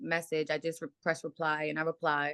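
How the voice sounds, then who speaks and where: A loud woman's voice with a dry, close sound and no echo. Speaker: reality show cast member. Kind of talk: heated argument. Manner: animated.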